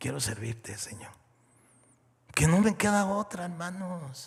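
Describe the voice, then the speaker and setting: At a moderate pace, a man speaks in a somewhat breathy voice with lively intonation. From Mexico. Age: 60s. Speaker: pastor. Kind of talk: sermon.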